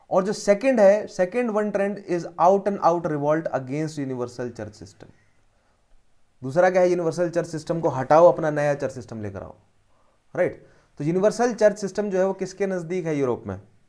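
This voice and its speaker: A man's high-pitched, dark and mellow voice at a moderate pace, with lively intonation and big swings in loudness. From Haryana, India. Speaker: history teacher for civil service exam. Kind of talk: lecture. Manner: code-switching Hindi and English.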